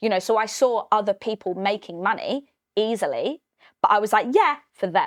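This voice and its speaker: A woman with a British accent speaks at a fairly high pitch and a moderate pace with ordinary pitch variation, in a dry, close sound with no echo and a very clean recording over a silent background. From Britain. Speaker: financial wellbeing coach. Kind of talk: podcast interview.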